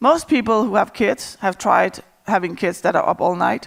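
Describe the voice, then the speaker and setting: A woman with a Danish accent talks at a moderate pace and fairly high pitch, with lively intonation and vocal fry, in a very clean recording with a silent background. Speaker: agile coach. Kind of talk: conference talk.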